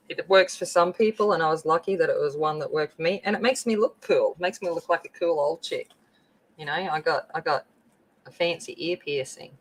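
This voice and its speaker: With a strong Australian accent, a woman with fairly low pitch talks at a fairly quick pace, her loudness swinging widely and her pitch varying in an ordinary way, in a dry, close sound with no echo. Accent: very broad Australian. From rural Australia (the bush, out west). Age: 40s. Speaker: craft livestreamer. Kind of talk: casual livestream chat while crafting. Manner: chatty, informal.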